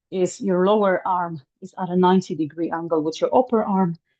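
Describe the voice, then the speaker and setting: A woman with a plain, everyday voice, medium pitch and a moderate pace. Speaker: fitness instructor. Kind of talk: guided exercise class.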